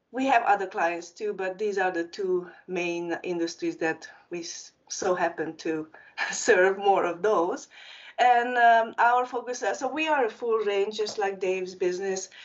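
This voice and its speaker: Speaking at a fairly slow pace, a woman with a Hungarian accent uses a medium pitch and ordinary pitch variation. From Transylvania, Romania (Hungarian community). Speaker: marketing agency founder. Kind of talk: panel discussion.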